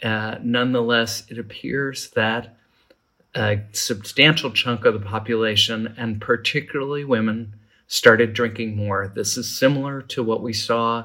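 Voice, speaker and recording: A man speaks at a medium pitch and a moderate pace. His tone is bright and sharp, his intonation fairly even. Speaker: alcohol policy professor. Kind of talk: interview.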